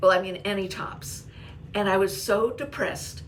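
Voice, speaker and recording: Noticeable background noise behind a woman speaking at a fairly slow pace. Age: 80s+. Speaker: blogger and YouTuber. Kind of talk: casual talk to camera.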